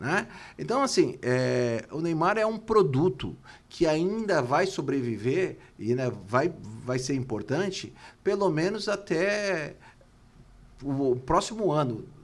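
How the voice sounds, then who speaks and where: A man with a fairly high pitch, very wide pitch swings, a very slow pace and long, frequent pauses. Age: 60s. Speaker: football club politician, former presidential candidate. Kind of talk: interview. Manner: halting, repeats words.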